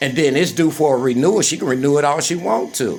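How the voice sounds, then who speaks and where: Fairly quick speech with music in the background. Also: man. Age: 60s. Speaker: vlogger. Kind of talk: personal rant. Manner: agitated.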